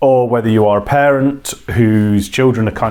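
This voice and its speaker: With a British accent, a man speaks with fairly even intonation. Background noise is noticeable. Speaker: children's author and hobby workshop leader. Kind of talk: casual talk to camera.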